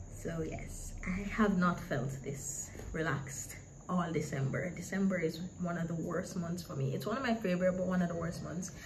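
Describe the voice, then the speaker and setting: Over noticeable background noise and audible room echo, a woman speaks at a moderate pace with a fairly low pitch and ordinary pitch variation. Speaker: book and journaling YouTuber. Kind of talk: casual vlog talk. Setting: at home with other people in the house.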